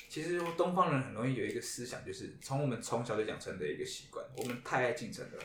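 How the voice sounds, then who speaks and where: A man talks at a very fast clip with hardly any pauses. Noticeable background noise and audible room echo surround him. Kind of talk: casual chat. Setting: live podcast with band guests.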